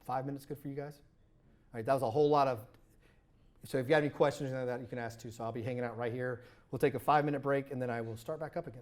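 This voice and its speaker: A man with a medium pitch talks at a very fast pace. He still leaves long, frequent pauses. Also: very clean recording, silent background. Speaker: software engineer leading a workshop. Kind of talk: workshop tutorial. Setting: live workshop with audience. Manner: animated.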